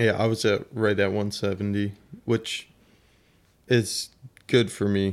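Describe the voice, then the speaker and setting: A man speaks at a fairly low pitch and a fairly slow pace, his intonation monotone and flat, with long, frequent pauses. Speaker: amateur gravel cyclist. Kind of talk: casual chat.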